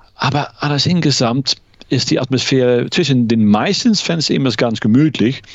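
A man talks with a Dutch accent. His pitch is medium and his pace fairly slow. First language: Dutch (speaking German). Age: 50s. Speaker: law lecturer, ice hockey fan. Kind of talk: casual interview. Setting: remote call. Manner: hesitant, many fillers.

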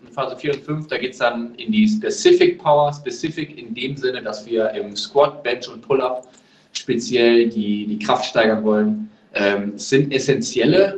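A man's fairly high-pitched voice. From Germany, Lower Rhine (Neuss). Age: 30s. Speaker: American football player, wide receiver. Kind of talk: podcast interview. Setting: remote call.

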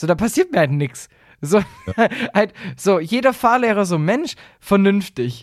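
At a fairly slow pace, a man speaks with a high pitch and very wide pitch swings. He leaves long, frequent pauses. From Baden-Württemberg, Swabia (Aalen area). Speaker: podcast co-host. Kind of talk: casual comedic chat.

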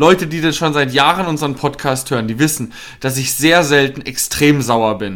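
A man talks at a moderate pace in an ordinary speaking voice. It is fairly high in pitch, with ordinary pitch variation. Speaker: football podcast co-host, fan. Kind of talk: angry rant about a team's bad match, heated football analysis. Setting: studio podcast recording.

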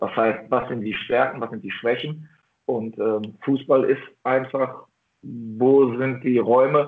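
The voice is a man's, medium in pitch. He keeps a moderate pace and fairly even intonation. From Ruhr area, Germany. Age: 40s. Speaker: football coach. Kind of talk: interview. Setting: video call. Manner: halting, many fillers and repetitions.

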